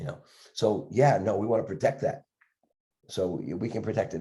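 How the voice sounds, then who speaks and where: Man with a very fast pace, medium pitch, a dark, mellow tone and a somewhat breathy quality. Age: 70s. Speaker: dentist and educator. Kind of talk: interview. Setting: podcast video interview. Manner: halting, repetitive.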